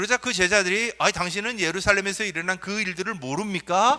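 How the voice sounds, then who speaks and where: A man's raised, projected voice, high and bright with a sharp tone, at a fairly quick pace in a very clean recording with a silent background. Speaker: pastor. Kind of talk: sermon. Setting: church. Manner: conversational, asks congregation questions.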